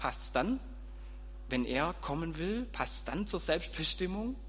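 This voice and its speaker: A man at a moderate pace. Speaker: preacher and school teacher. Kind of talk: sermon. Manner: informal, conversational, storytelling with light humor; audience-addressing, direct and warm.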